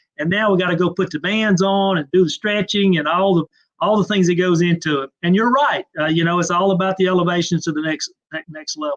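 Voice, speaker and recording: Speaking in a Southern US accent, the voice holds fairly even intonation with hardly any pauses. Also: man, high pitch for a man. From Mississippi, US South. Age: 50s. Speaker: trade association executive. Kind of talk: interview. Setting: live online video interview.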